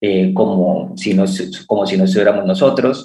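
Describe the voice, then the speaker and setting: A man talks at a moderate pace in a fairly low pitch with ordinary pitch variation. He has a normal speaking voice. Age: 30s. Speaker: startup founder and rancher. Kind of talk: radio interview.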